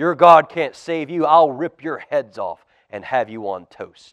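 A man bellows in a put-on character voice at a fairly slow pace, with a fairly high pitch. The background is quiet. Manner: bellowing, menacing.

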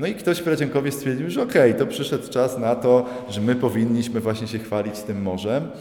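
With hardly any pauses, a man rattles along at a very fast pace and medium pitch, ordinary pitch variation, amid audible room echo and noticeable background noise. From Upper Silesia, Poland (Radzionków). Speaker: visual artist. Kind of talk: interview at art exhibition. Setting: gallery exhibition.

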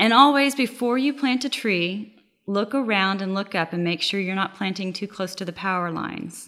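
A woman with an American accent, bright and sharp in tone, at a moderate pace with ordinary pitch variation, on a very clean recording with a silent background. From Oklahoma. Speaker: urban forestry nonprofit staff. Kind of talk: interview.

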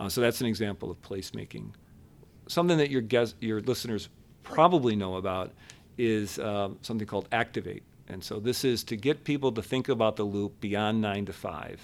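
An unremarkable speaking voice with an American accent moves at a fairly quick pace with ordinary pitch variation. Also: man, fairly low pitch for a man. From Buffalo, New York. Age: 50s. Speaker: downtown business district leader. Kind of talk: interview.

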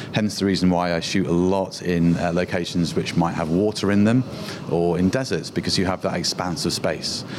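A man with a British accent and a very deep, low pitch, with fairly even intonation and very even loudness, against noticeable background noise. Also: fairly quick pace. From UK. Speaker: photographer. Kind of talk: interview.

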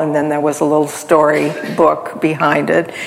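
A woman with an American accent and a very deep, low pitch speaks at a moderate pace over noticeable background noise. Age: 70s. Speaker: cultural anthropologist and author. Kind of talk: interview on stage. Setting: stage with audience.

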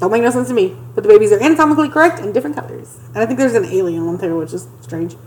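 A woman at a medium pitch, talking very fast with hardly any pauses and very wide pitch swings, over noticeable background noise. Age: 30s. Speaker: podcast co-host. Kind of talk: casual chat.

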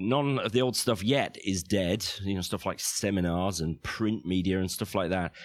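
Very deep and low, a man's voice moves at a fairly quick pace with lively intonation. The recording is very clean, the background silent. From northern England. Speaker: financial planner; podcaster. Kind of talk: interview.

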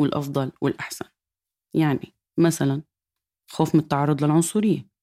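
The voice belongs to a woman and has a dark, mellow tone. Her delivery moves at a moderate pace. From Syria. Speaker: podcast host and editor. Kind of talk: scripted narration.

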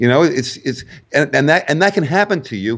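A man with an American accent talks at a very fast pace with lively intonation against a quiet background. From New York. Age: 50s. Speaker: fitness expert and author. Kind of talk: interview.

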